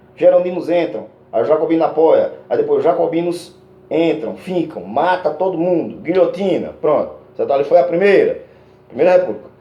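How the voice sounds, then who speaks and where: A man at a moderate pace, with audible room echo. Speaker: schoolteacher. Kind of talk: lecture. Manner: halting, many fillers.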